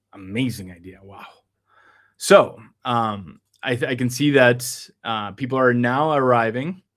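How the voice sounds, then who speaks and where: Speaking fairly slowly at a medium pitch, a man shows ordinary pitch variation and big swings in loudness. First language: Spanish. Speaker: numerology reader and stream host. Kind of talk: live stream conversation. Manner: halting, many fillers.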